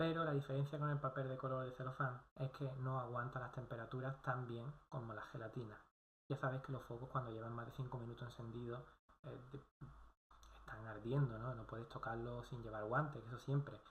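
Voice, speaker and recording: Somewhat breathy, a man talks at a fairly quick pace in monotone, flat intonation. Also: medium pitch for a man. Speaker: video blogger. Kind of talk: casual talk to camera, course summary.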